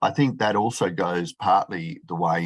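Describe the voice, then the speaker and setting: The voice carries an Australian accent. The background is quiet. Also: man. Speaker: professor, chartered accountant. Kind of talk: conference talk. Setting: video call. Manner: fast.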